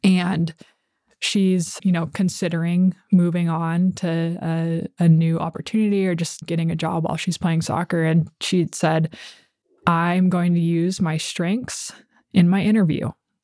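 A woman's dark, mellow voice, fairly low in pitch, flat and monotone, at a fairly slow pace with an American accent. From Southern California, Oceanside. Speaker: former college soccer captain and startup founder. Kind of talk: interview.

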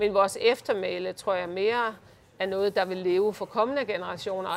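Speaking in a normal speaking voice, a woman keeps a moderate pace, a medium pitch and a fairly even intonation. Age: 50s. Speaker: leadership consultant. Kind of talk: interview. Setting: office by the harbour.

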